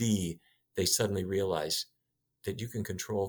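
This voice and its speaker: On a very clean recording with a silent background, a man with an American accent speaks in a very deep, low voice with fairly even intonation. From US Midwest (North Dakota). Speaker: physician and nutrition researcher. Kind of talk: interview.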